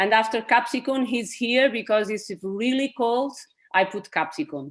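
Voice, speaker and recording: At a moderate pace, a woman with a Portuguese accent uses a fairly high pitch and lively intonation over a quiet background. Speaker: herbal medicine practitioner. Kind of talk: webinar presentation. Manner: halting.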